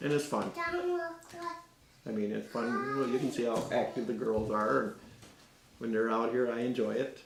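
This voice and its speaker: With long, frequent pauses, a man speaks at a moderate pace and medium pitch with ordinary pitch variation, amid noticeable background noise and audible room echo. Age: 60s. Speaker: gardener. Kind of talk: casual interview. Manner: halting.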